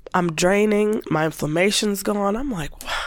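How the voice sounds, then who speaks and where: In a very clean recording against a silent background, this woman's voice shows ordinary pitch variation. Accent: American. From US Midwest (Warren, Ohio). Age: 40s. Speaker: small business owner, former school staff. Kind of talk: casual interview. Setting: studio.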